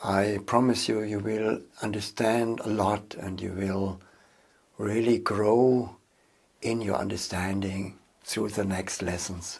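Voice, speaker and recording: With a German accent, the speaker moves at a very slow pace in a monotone, flat delivery broken by long, frequent pauses. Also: man. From Germany. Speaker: seminar leader and online course instructor. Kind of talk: course introduction.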